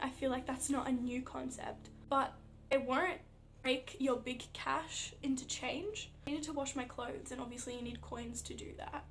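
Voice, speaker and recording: A woman with an Australian accent speaks at a moderate pace and high pitch, with audible room echo. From Australia (Melbourne). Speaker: athlete vlogger. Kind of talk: casual vlog. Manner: casual, filler-heavy.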